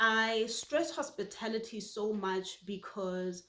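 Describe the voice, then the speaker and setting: Speaking at a very slow pace, a woman uses a fairly high pitch with ordinary pitch variation. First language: Setswana. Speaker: YouTuber. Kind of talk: personal vlog monologue.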